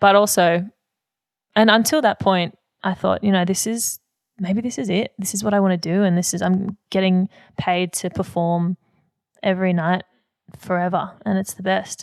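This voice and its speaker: A woman with an Australian accent speaks at a moderate pace in a medium pitch with fairly even intonation. She leaves long, frequent pauses, and the sound is dry and close with no echo. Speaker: singer and musical theatre performer. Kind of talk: interview.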